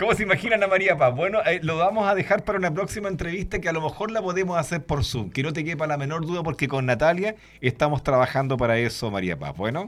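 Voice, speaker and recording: A very fast talker with lively intonation who barely pauses at all. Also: man, high pitch for a man. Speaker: radio host. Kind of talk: radio interview.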